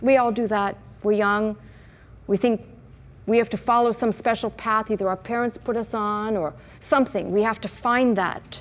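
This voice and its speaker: A woman speaks at a fairly high pitch and a moderate pace. Her intonation is fairly even, broken by long, frequent pauses. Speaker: pastor. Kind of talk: sermon to a live congregation.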